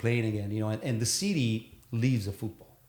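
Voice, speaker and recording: A man speaks in a medium pitch with ordinary pitch variation. His voice is somewhat breathy. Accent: Neapolitan. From Naples, southern Italy. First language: Italian. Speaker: sail and board gear designer, entrepreneur. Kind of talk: casual podcast interview. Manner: halting, many fillers.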